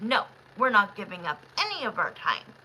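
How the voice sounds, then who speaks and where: At a moderate pace, a female-sounding voice performs a put-on character voice with a medium pitch. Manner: unyielding, put-on.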